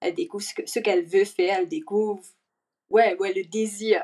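A plain, everyday voice talks at a moderate pace, its pitch varying in an ordinary way. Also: woman. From Mauritius. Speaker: actress. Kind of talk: casual interview. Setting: video call from Mauritius. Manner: mixes English words into French.

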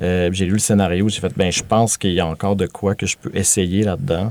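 Speaking at a fairly quick pace, a man uses a very deep, low pitch with fairly even intonation. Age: 30s. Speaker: filmmaker. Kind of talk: casual chat. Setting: studio.

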